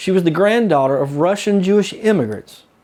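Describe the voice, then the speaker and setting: Swinging very widely in pitch, the man speaks in a high voice. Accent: Southern US. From US South. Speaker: local historian and author. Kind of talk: storytelling commentary. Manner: casual, conversational.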